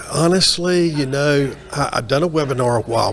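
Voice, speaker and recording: Over noticeable background noise, a man with a slight Southern US accent speaks at a moderate pace, his fairly high pitch moving in lively intonation. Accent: slight Southern twang. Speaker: maintenance and reliability professional. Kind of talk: interview. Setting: onsite at a trade event.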